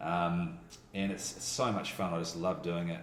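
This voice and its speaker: Someone with a New Zealand accent mumbles at a moderate pace, with audible room echo. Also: man. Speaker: voiceover artist and radio teacher. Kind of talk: casual chat. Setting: radio school office. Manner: mumbling.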